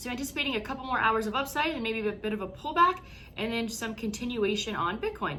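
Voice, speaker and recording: A woman speaks very fast at a fairly high pitch, her intonation lively. Audible room echo and noticeable background noise surround her. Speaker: crypto investing YouTuber. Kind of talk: market analysis tutorial. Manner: stuttering, halting this morning.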